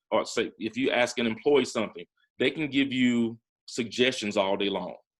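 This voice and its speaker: With a Southern US accent, a man speaks at a moderate pace and medium pitch, with ordinary pitch variation against a quiet background. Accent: Southern American. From Talladega, Alabama. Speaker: entrepreneur, former investment banker. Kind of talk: interview answer.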